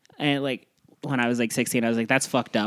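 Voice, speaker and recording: A man with an American accent speaks very fast at a medium pitch with ordinary pitch variation. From US Midwest, Cleveland, Ohio. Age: 30s. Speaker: stand-up comedian. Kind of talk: casual chat.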